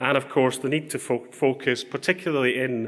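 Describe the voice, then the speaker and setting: Using a plain, everyday voice, a man speaks at a moderate pace with fairly even intonation. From Canada. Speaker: health economist. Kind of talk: conference presentation.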